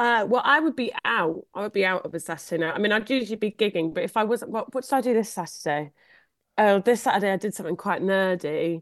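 In a Cornish accent, the speaker talks at a very fast pace with lively intonation. The background is quiet. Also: woman, medium pitch for a woman. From Cornwall. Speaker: comedian. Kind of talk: casual chat. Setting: video call.

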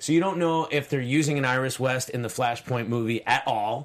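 His intonation is lively. A man talks with an American accent. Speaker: film podcast co-host. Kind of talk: casual chat. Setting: studio.

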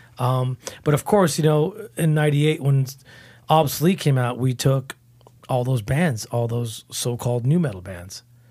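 Somewhat breathy, a man speaks at medium pitch and moderate pace with lively intonation. The recording is very clean, the background silent. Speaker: metal guitarist and band founder. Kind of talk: casual interview.

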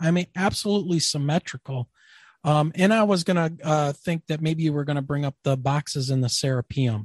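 At a fairly quick pace, a man with a fairly high pitch and a somewhat breathy voice shows ordinary pitch variation, recorded with a dry, close sound with no echo against a quiet background. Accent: American. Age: 50s. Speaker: podcast host. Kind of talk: casual interview. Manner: animated.

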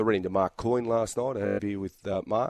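A man talks with an Australian accent in a monotone, flat intonation. The recording is very clean, with a silent background. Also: dry, close sound with no echo. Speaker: rugby league commentator. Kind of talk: casual chat.

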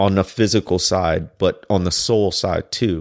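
A man with an American accent speaks at a fairly slow pace in an ordinary speaking voice, his pitch fairly low, on a very clean recording with a silent background and a dry, close sound with no echo. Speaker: podcast co-host, teacher. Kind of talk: casual conversation podcast.

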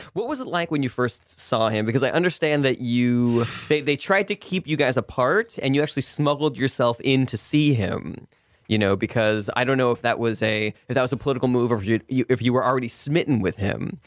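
A man talks fairly quickly in an ordinary speaking voice. His pitch sits at medium, with ordinary variation. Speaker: comedy radio show host. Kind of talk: improvised comedy interview. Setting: radio studio.

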